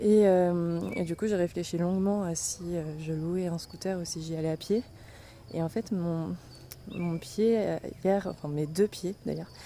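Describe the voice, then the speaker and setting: Her pitch is fairly low for a woman. She speaks at a fairly slow pace. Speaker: travel vlogger. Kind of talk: travel vlog. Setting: outdoors. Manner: soft-spoken; animated.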